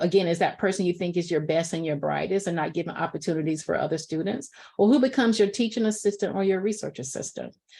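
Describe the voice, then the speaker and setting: With a Southern US accent, a woman talks very fast at a fairly low pitch with ordinary pitch variation. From US South. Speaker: professor. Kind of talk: lecture.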